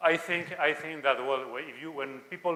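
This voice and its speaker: Fairly even intonation comes with a Spanish accent at a moderate pace, with audible room echo. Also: man. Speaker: conference speaker, Spanish language teacher. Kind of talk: lecture; Q&A answer. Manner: halting.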